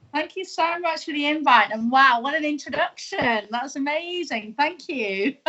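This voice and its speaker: Over noticeable background noise, a high-pitched woman talks at a moderate pace with lively intonation and hardly any pauses. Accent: British. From UK. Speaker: tea business owner turned live-tweeter. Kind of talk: interview. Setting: live stream.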